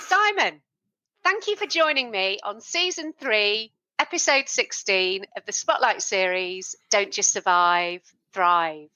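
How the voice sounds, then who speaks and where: The pace is very slow, in a British accent. The pitch swings very widely. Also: woman, fairly high pitch for a woman. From UK, not Liverpool. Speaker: podcast host. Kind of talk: interview.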